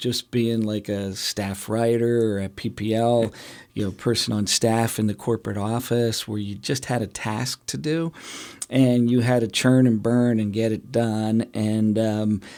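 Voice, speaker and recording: A man with a Pennsylvania accent, medium pitch, a dark, mellow tone, fairly even intonation and a moderate pace. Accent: Pennsylvania American. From Pennsylvania, Lehigh Valley. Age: 50s. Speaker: regional economic development executive. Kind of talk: interview. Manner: casual, conversational.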